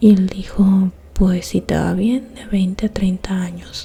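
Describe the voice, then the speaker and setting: A soft-spoken woman at a medium pitch, in a monotone, flat intonation. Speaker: ASMR creator, true crime storyteller. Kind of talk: whispered ASMR true-crime narration. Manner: soft-spoken, slow.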